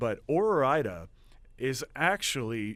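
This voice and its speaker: Spoken with an Oklahoma accent and lively intonation, the clip is a very clean recording over a silent background. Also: man. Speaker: student radio host. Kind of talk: casual radio show monologue. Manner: hesitant, many fillers.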